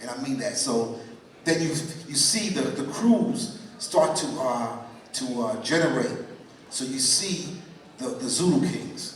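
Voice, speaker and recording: With a New York accent and a fairly high pitch, a man speaks at a very slow pace in very wide pitch swings, amid audible room echo and noticeable background noise. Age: 60s. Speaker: pioneer dancer on panel. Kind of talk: panel discussion. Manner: halting, repetitive.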